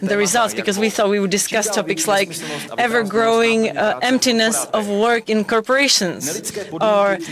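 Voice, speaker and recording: Noticeable background noise over a dry sound with no echo. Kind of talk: interpreted comedic conference talk. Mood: deadpan comic. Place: booth.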